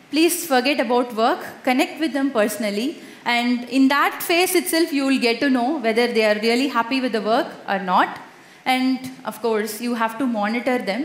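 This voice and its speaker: A high-pitched woman speaks at a moderate pace in a Tamil accent, with ordinary pitch variation, audible room echo and noticeable background noise. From India, Madurai (Tamil Nadu). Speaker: conference speaker, software tester. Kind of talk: conference talk with Q&A.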